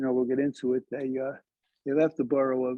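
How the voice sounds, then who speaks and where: A man speaks with a Brooklyn accent. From Brooklyn, New York City. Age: 70s. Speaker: historian, lecturer. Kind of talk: lecture. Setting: library talk with audience. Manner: halting, many fillers.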